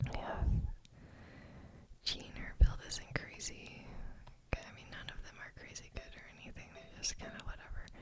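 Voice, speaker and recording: Someone whispers over noticeable background noise. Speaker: ASMR creator and gamer. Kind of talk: ASMR gaming account review. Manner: soft-spoken, whispered.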